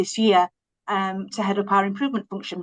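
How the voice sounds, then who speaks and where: A woman speaks with a Yorkshire accent at a medium pitch. The sound is dry and close, with no echo. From Yorkshire, England. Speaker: health service manager. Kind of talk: conference presentation.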